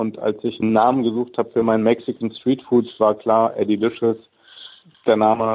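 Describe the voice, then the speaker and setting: This man has an unremarkable speaking voice at medium pitch. He speaks at a moderate pace. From Germany, Wolfsburg (born in Mexico, moved at ten). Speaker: chef and food truck owner. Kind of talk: radio interview. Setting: studio.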